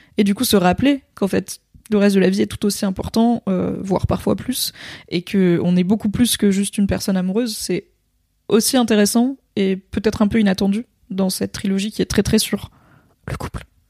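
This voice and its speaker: A woman with a dark, mellow tone, somewhat breathy, at a fairly quick pace with fairly even intonation, in a dry, close sound with no echo. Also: medium pitch for a woman, very clean recording, silent background. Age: 30s. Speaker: podcast co-host. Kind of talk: casual chat.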